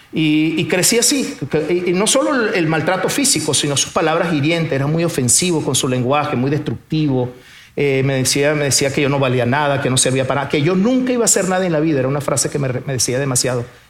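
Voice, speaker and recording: A man at a very fast pace, fairly high pitch, ordinary pitch variation and very even loudness, with noticeable background noise and audible room echo. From Venezuela. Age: 50s. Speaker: businessman. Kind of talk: testimony. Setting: stage with audience.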